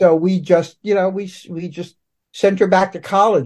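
Here a man speaks in a New York accent at a moderate pace. Behind him the background is quiet. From Brooklyn, New York. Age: 60s. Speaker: comic book writer. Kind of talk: casual interview. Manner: halting.

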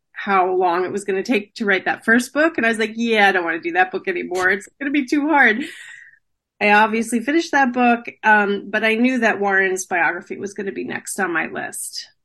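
A woman with an ordinary speaking voice talks at a medium pitch with lively intonation. The background is quiet. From New Jersey. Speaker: author. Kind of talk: interview.

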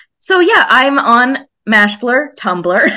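A woman's bright, sharp tone is heard on a very clean recording with a silent background. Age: 30s. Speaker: podcast guest, TV fan. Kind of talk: casual chat.

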